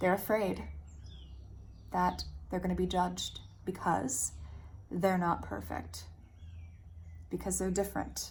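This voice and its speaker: A woman at a fairly slow pace with long, frequent pauses, amid audible room echo. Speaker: self-help vlogger. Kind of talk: personal vlog monologue. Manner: candid, reflective.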